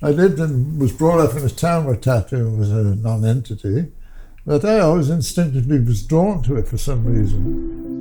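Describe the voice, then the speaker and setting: Here is a man's voice with a dark, mellow tone, somewhat breathy. He talks at a moderate pace with very wide pitch swings. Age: 80s+. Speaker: tattoo artist. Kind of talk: interview storytelling. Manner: halting.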